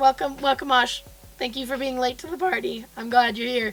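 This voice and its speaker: In a put-on character voice, a woman talks at a fairly quick pace, high-pitched, squeaky and raspy, with big swings in loudness. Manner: welcoming, apologetic about voice.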